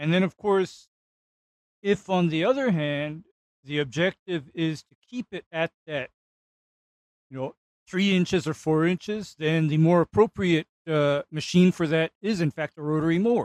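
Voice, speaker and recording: In a dry, close sound with no echo, a man with fairly high pitch and ordinary pitch variation speaks at a fairly slow pace, with long, frequent pauses and big swings in loudness. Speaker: turfgrass expert. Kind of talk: casual chat.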